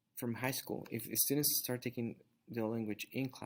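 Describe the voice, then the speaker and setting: Using fairly even intonation, a man speaks at a moderate pace with a Spanish accent. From Mexico, Zacatecas. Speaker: Spanish teacher. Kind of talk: class introduction talk. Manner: halting, many fillers.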